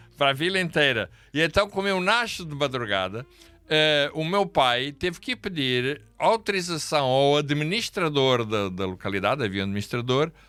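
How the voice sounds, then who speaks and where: Music plays in the background as the voice makes very wide pitch swings. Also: man. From Angola. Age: 60s. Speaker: pastor. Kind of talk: interview storytelling. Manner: halting.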